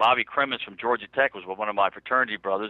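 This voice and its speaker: This is a man speaking. His pitch is fairly low. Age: 60s. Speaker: record producer and promoter. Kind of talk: interview. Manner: animated.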